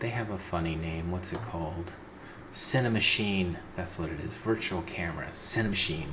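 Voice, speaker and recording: Whispering at a moderate pace, a man is heard through audible room echo and noticeable background noise. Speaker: indie game developer. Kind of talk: tutorial.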